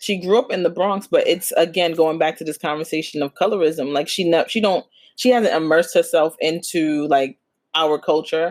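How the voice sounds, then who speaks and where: In a New York accent, a woman talks at a moderate pace with a fairly low pitch and ordinary pitch variation on a very clean recording with a silent background. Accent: New York City. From Flatbush, Brooklyn, New York. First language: Spanish. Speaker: podcast co-host. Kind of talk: casual chat.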